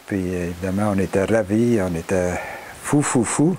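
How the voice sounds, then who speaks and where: Very slow speech with fairly even intonation over noticeable background noise. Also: man. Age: 70s. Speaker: veteran rock climber. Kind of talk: interview storytelling. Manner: halting.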